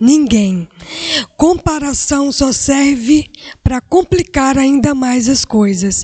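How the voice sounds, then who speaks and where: Against noticeable background noise, a woman speaks at a very slow pace. Her voice is high with lively intonation. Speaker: career guest speaker. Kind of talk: motivational talk to students. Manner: animated.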